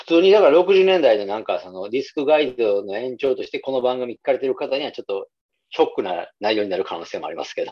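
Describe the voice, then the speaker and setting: A man speaks at a very fast pace with a Kansai accent. His loudness swings widely. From Nara, Japan (Kansai). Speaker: music podcast co-host. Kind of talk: casual chat.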